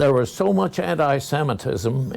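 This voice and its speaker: Noticeable background noise sits behind a man speaking at a medium pitch with an American accent. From US Midwest, rural Kansas. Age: 80s+. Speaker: war veteran. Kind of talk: interview. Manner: halting.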